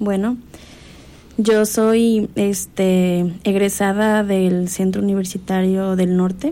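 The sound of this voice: At a slow pace, a woman speaks in a dark, mellow tone with little pitch movement. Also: medium pitch for a woman.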